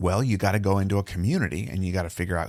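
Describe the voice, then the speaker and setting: Over a silent background on a very clean recording, a man with a very deep, low pitch talks at a very fast pace. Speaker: podcast host. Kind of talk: casual solo talk.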